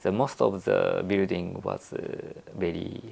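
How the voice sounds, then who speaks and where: A man speaks with a Japanese accent. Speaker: architect. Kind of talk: interview. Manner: halting, many fillers.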